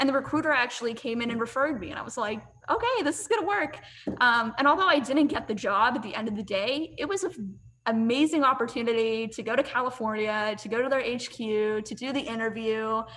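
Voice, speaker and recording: A woman speaks with an American accent at a very fast pace and a high pitch, with noticeable background noise around her. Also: ordinary pitch variation. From US, western Pennsylvania (near Pittsburgh). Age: 20s. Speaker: marketing professional. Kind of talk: interview. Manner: animated.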